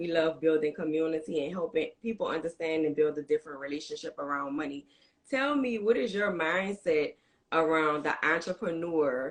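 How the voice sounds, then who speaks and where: A New Orleans accent at a fairly quick pace, with ordinary pitch variation. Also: woman. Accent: New Orleans accent, full. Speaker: podcast host. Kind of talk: reading guest introduction; interview.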